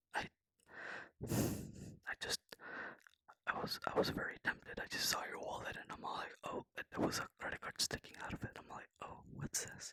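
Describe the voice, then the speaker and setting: A man whispers at a moderate pace with long, frequent pauses, the sound dry and close with no echo. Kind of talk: ASMR whispered roleplay confession to a friend. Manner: soft-spoken, whispering, hesitant.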